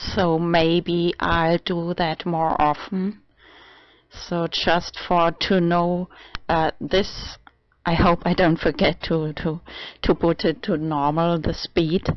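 Speaking very slowly, a woman with a fairly low pitch keeps her intonation monotone and flat. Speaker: vlogger. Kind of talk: casual vlog.

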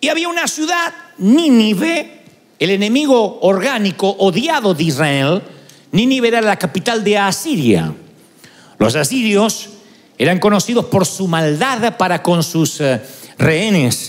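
The man's pitch swings very widely as he talks at a fairly slow pace. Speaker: preacher. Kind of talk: sermon. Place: church. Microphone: handheld.

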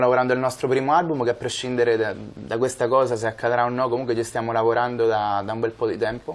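A man talking with hardly any pauses and a fairly even intonation. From Italy, Marche (Morrovalle). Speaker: songwriter. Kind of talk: TV interview. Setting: studio. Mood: calm, modest. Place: studio.

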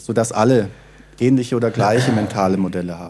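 A man speaks fairly quickly in a dark, mellow tone with ordinary pitch variation. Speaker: conference host and moderator; conference host, moderator. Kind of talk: conference introduction and discussion. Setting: conference stage. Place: hall. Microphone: handheld.

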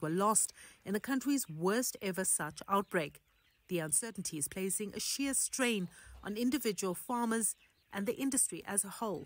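A woman with a normal speaking voice speaks at a moderate pace, medium pitch, and ordinary pitch variation. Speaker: news reporter. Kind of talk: news narration.

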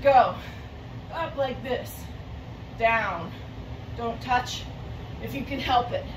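Through noticeable background noise, a woman speaks at a very slow pace with long, frequent pauses and big swings in loudness. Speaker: fitness instructor. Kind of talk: follow-along home workout class, counting reps and cueing exercises between timer beeps. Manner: short, clipped commands shouted in bursts during intervals; chatty and self-correcting, with frequent ums and repeated words. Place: home room. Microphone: camera far.

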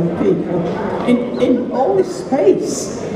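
A woman speaks with audible room echo and loud background noise. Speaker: blogger and festival opening speaker. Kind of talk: festival opening speech to an audience. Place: stage.

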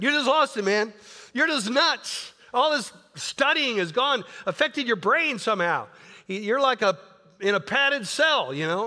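An extremely high-pitched man projects a raised voice with a bright, sharp tone. His delivery is animated, with lively intonation, at a moderate pace. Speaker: pastor. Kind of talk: sermon.

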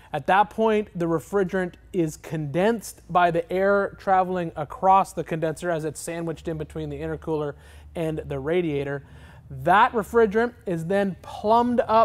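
This man talks at a moderate pace in a high pitch, with ordinary pitch variation. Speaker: vehicle builder host. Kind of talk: tutorial. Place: garage.

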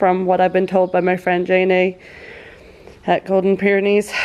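A woman at a moderate pace with a slightly mellow tone

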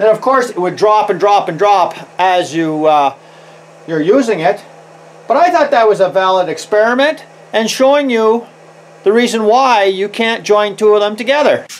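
Here a man speaks with a high pitch. His pace is moderate and his intonation lively. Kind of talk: tutorial. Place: workshop.

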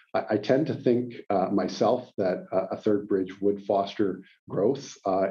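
A man with a Western Canadian accent, fairly low pitch and ordinary pitch variation, against a quiet background. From Calgary, Alberta, Canada; Alberta, Canada. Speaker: lawyer and mayoral candidate; lawyer, candidate. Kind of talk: interview. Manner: hesitant, many fillers. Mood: calm, measured. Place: office. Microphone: webcam.

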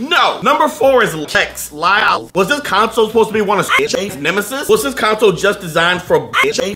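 Over noticeable background noise, a man talks in a raised, projected voice at a fairly quick pace with hardly any pauses. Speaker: comedy tech video host. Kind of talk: comedic countdown commentary. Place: home room.

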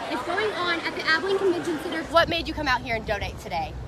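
A woman's raised, projected voice at an extremely high pitch, very fast, dry with no echo, crowd noise behind her. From Texas. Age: 20s. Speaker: TV news reporter. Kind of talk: live news field report. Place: hall. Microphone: phone near.

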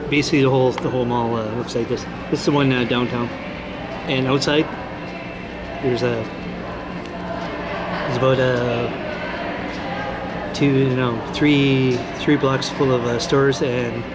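Against loud background noise, a man speaks at a fairly slow pace with long, frequent pauses. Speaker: vlogger. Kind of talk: casual vlog chat. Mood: glum, resigned. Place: hall. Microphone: phone near.

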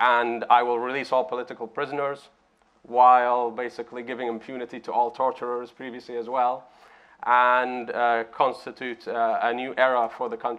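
This man's intonation is monotone and flat as he talks at a moderate speed. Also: medium pitch for a man. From Bahrain. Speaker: human rights activist; panelist. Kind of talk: panel discussion. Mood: earnest, calm. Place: hall.

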